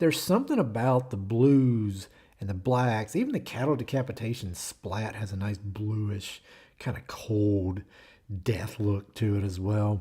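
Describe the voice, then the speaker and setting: The tone is dark and mellow, somewhat breathy. Pitch varies in an ordinary way. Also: man. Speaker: podcast host. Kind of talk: album review monologue. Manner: casual, filler-heavy.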